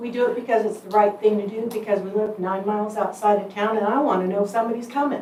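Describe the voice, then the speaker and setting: A woman with a fairly high pitch speaks at a very fast pace. Audible room echo and noticeable background noise fill the recording. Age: 60s. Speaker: volunteer firefighter and EMS captain. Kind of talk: public comment at a meeting. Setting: county commission meeting.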